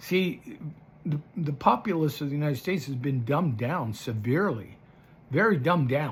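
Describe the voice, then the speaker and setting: Somewhat breathy, this man's voice sits at a fairly high pitch. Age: 70s. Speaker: political commentator vlogger. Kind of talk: casual monologue. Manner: halting.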